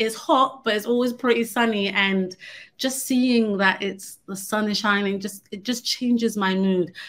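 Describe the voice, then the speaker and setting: In a London accent, a woman speaks at a fairly slow pace with a fairly high pitch and fairly even intonation. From London, England. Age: 30s. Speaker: conference speaker. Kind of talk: presentation.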